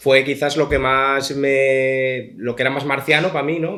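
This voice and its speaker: A man's medium-pitched voice at a fairly slow pace. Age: young. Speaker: comic artist and author. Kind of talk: book presentation Q&A. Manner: halting, many fillers.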